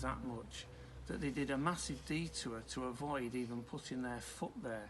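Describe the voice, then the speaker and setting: A man talks at a moderate pace, and audible room echo can be heard around him. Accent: northern English. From northern England. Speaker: preacher. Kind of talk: sermon.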